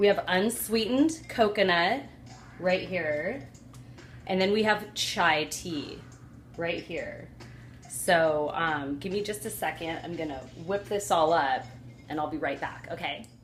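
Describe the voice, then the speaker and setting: A woman speaks at a fairly low pitch and a fairly slow pace, with long, frequent pauses. Her intonation is lively, and audible room echo surrounds it. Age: 40s. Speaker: cooking and health vlogger. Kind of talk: casual tutorial. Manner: casual, chatty with fillers.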